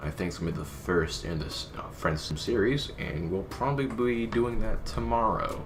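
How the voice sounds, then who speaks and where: Against noticeable background noise and audible room echo, a man with a fairly low pitch speaks at a moderate pace with very wide pitch swings and hardly any pauses. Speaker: gaming youtuber. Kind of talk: casual chat. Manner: halting.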